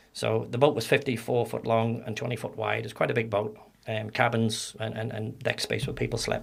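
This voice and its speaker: Speaking fairly fast with vocal fry, a man keeps a medium pitch and a monotone, flat intonation. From Northern Ireland. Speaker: ex-soldier and security trainer. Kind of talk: podcast interview, storytelling.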